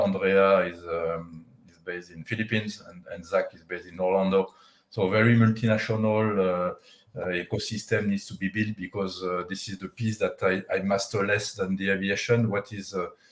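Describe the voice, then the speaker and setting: The man's fairly low voice is flat and monotone at a moderate pace. His loudness swings widely. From France. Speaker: tech company CEO. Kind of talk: interview. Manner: halting, many fillers.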